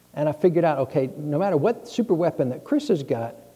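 A man speaks with lively intonation at a fairly high pitch. Noticeable background noise is present. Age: 50s. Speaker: pastor. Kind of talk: sermon. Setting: church. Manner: halting.

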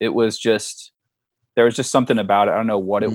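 A man's fairly low-pitched voice with a Californian accent. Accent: Californian American English. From San Diego, California. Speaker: former pro wrestler and comic book artist. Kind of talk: casual interview.

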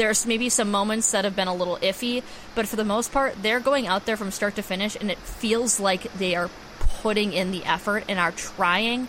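A woman with an American accent and medium pitch, moderate pace, fairly even intonation and noticeable background noise. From Wisconsin, Green Bay. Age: 20s. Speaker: sports podcast co-host. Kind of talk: casual chat.

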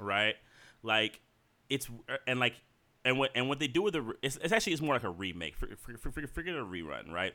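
A man's very fast voice with vocal fry, a bright, sharp tone, very wide pitch swings and long, frequent pauses. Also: medium pitch for a man. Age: 40s. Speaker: podcast co-host. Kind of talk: casual chat. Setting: at home.

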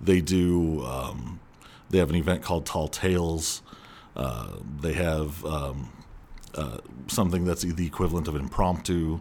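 In an American accent, a man talks at a fairly slow pace with a very deep, low pitch. Long, frequent pauses break up his speech. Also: ordinary pitch variation. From Southern California. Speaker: former speech competitor and actor. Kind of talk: casual interview.

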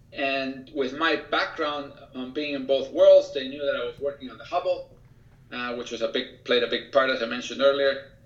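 Fairly high male voice with fairly even intonation and big swings in loudness, over noticeable background noise. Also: moderate pace. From Chile. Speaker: engineer and author. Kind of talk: interview.

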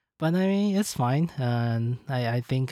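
The speaker is a man. He talks with a Chinese accent. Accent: Mandarin-accented English. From China. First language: Mandarin Chinese. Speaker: podcast host. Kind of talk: casual chat. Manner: halting, many fillers.

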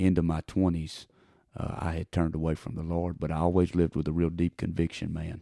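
In a Texan accent, the speaker delivers monotone, flat intonation at a moderate pace with a dark, mellow tone, in a dry, close sound with no echo on a very clean recording with a silent background. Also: man. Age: 30s. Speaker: evangelist preacher. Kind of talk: interview.

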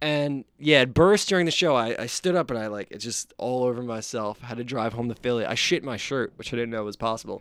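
A man in a normal speaking voice talks at a fairly quick pace with ordinary pitch variation and hardly any pauses. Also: medium pitch for a man. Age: 20s. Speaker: podcast host, musician. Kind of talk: casual chat.

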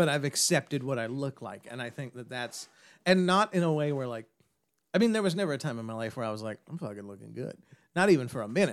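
At a very fast pace, a man talks at a medium pitch. His pitch swings very widely, and his loudness rises and falls in big swings. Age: 30s. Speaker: podcast guest. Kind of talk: casual chat.

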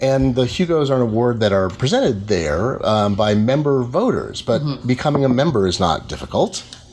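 With hardly any pauses and very even loudness, a man speaks over noticeable background noise. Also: medium pitch for a man, lively intonation. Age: 40s. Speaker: technology reporter and interviewer. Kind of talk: live interview. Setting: live event at a bookstore cafe.

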